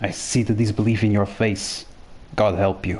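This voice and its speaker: A man's put-on character voice, fairly low-pitched and strained, monotone and flat at a moderate pace, over clear background noise. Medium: read story. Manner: strained, desperate.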